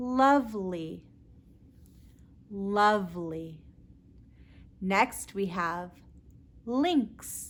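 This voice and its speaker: Speaking with an American accent, a woman uses a medium pitch and lively intonation. Her pace is very slow, with long, frequent pauses. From Southern California. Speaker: English tutor. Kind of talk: pronunciation tutorial. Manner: slow, clearly enunciated.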